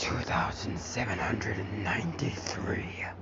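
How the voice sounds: Over loud background noise, a put-on character voice sounds gravelly and strained at a fairly slow pace. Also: man, fairly low pitch for a man.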